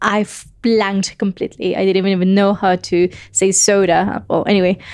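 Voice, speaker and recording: This woman has an English accent and a medium pitch. Her delivery is moderate in pace, very even in loudness and monotone with flat intonation. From Colombia. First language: Spanish. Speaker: podcast guest. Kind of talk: casual chat. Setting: apartment.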